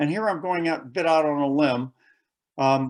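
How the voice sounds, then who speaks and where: Talking in an ordinary speaking voice, a man has an American accent and a fairly high pitch. His moderate pace and ordinary pitch variation come through a very clean recording, silent background. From United States. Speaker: conference presenter on military history. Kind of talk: conference presentation.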